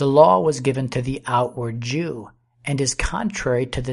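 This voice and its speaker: A man's medium-pitched voice, somewhat breathy, at a fairly slow pace with ordinary pitch variation. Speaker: audiobook narrator. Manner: slow, measured, formal; reverent, earnest, steady.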